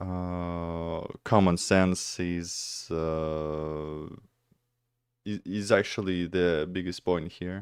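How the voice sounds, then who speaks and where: With a Russian accent, a man speaks at a very slow pace in a very deep, low voice, his intonation monotone and flat. His loudness swings widely on a very clean recording with a silent background. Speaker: streamer reacting to videos. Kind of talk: casual reaction stream commentary. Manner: halting, many fillers.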